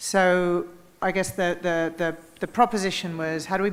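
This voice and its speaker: Fairly low in pitch, a woman speaks at a moderate pace with fairly even intonation. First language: not German. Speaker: panelist. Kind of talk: panel discussion.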